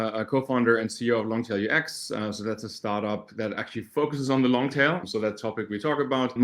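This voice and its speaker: A man with a German accent at a medium pitch, talking at a very fast pace with ordinary pitch variation. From Germany. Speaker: startup co-founder, search marketing expert. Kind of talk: podcast interview. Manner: halting, with repeated words.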